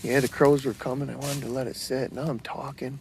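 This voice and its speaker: The speaker whispers at a moderate pace. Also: man. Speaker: bowhunter and archery product maker. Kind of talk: outdoor hunting vlog with product pitch. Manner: whispering.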